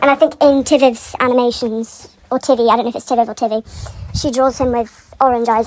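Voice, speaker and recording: A woman talks at a high pitch with monotone, flat intonation. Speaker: fan commentator. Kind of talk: unscripted rant. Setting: pacing around while recording. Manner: rambling, filler-heavy.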